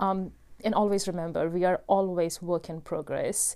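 In an Indian accent, a woman with a dark, mellow tone speaks at medium pitch and a moderate pace with fairly even intonation, on a very clean recording with a silent background. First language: Hindi. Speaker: podcast host. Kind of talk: solo personal monologue. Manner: casual with many fillers.

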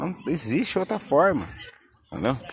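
A man talking at a fairly slow pace. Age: 30s. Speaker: podcaster. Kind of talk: casual monologue. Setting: outdoors at the beach. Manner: laid-back, filler-heavy.

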